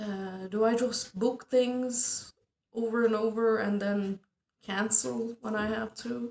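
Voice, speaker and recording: A woman with a Turkish accent speaks very slowly in a fairly high, flat monotone. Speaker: amateur stand-up comedian. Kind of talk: casual monologue vlog.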